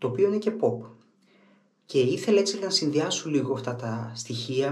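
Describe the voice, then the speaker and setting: This man's voice is somewhat breathy, with ordinary pitch variation and a moderate pace. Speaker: shaving product reviewer. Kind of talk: casual vlog chat. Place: bathroom. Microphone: camera far.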